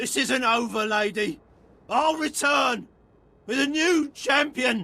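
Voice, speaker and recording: This voice is a put-on character voice with a fairly high pitch. The pace is fairly slow. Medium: video game.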